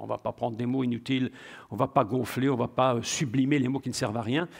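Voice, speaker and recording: A man speaks at a fairly quick pace with a medium pitch and fairly even intonation. It is a normal speaking voice on a very clean recording with a silent background. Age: 60s. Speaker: preacher. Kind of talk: sermon.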